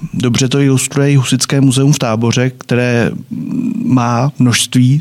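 Noticeable background noise sits behind a man speaking at a moderate pace. His medium-pitched voice has monotone, flat intonation. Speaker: podcast host. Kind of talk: moderated discussion. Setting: studio.

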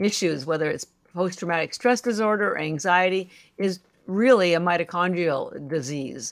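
An ordinary speaking voice with ordinary pitch variation moves at a moderate pace. The recording is very clean, with a silent background. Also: woman. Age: 60s. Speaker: company founder. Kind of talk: casual interview chat.

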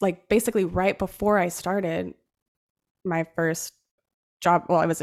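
A woman's fairly low, vocal-fry voice with a West Coast accent at a very fast pace, on a very clean recording with a silent background. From Central Oregon. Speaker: accountant. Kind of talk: casual interview.

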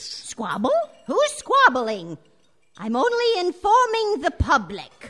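In a put-on character voice, a woman speaks at an extremely high pitch with very wide pitch swings and a fairly slow pace. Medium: audio drama. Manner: prim, sugary politeness hiding menace.

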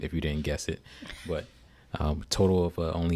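With an American accent, a man speaks in monotone, flat intonation. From Newark, New Jersey. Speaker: podcast co-host, military veteran. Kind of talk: casual chat. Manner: halting, many fillers.

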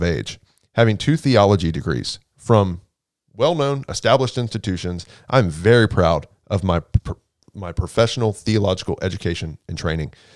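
A man with an American accent and an unremarkable speaking voice talks at a fairly quick pace and fairly low pitch with lively intonation, on a very clean recording with a silent background and a dry, close sound with no echo. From Houston, Texas. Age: 30s. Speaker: nonprofit development director. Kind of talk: casual chat.

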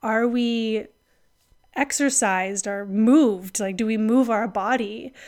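In a very clean recording with a silent background, a woman with a plain, everyday voice talks at a fairly high pitch with fairly even intonation. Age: 30s. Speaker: podcast host and women's health educator. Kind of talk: solo reflective monologue.

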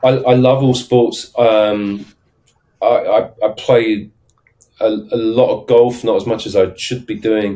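A man speaks with a southern English accent. His pace is very slow. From London, then English south coast. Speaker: startup advisor and sales consultant. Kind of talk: casual interview chat.

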